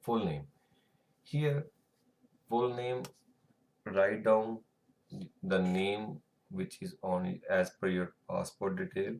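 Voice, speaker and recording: A man with an Indian accent talks very slowly at a fairly low pitch, with very wide pitch swings and long, frequent pauses. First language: Hindi or Punjabi. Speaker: tutorial creator. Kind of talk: tutorial. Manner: halting, with fillers.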